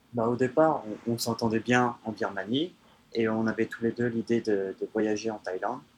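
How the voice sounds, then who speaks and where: Keeping a moderate pace, a man speaks with a fairly low pitch and fairly even intonation. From France, countryside. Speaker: traveler. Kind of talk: interview. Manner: halting.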